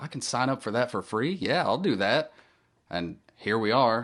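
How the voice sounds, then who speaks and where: The voice has a Southern US accent and ordinary pitch variation. It moves at a moderate pace. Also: man. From Tennessee. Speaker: musician and audiobook narrator. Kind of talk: casual interview chat. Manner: halting.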